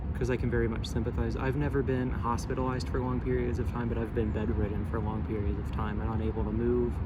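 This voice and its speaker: A man with a very deep, low pitch, at a very fast pace with hardly any pauses, very even loudness and ordinary pitch variation, amid noticeable background noise and audible room echo. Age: 20s. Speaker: university student. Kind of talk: casual discussion. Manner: halting, many fillers.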